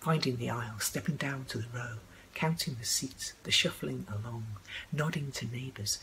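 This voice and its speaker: A woman's voice over light background noise. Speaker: poet. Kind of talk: spoken word poetry reading. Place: home room. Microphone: webcam.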